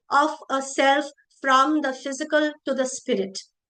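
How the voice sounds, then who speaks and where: Raised and projected, a woman's high-pitched voice has a bright, sharp tone, fairly even intonation and a fairly slow pace. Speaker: seminar speaker on Manipuri performance traditions. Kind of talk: academic presentation. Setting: online seminar.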